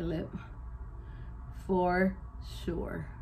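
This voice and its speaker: A woman is heard with audible room echo. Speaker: beauty vlogger. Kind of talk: makeup tutorial. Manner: casual, chatty.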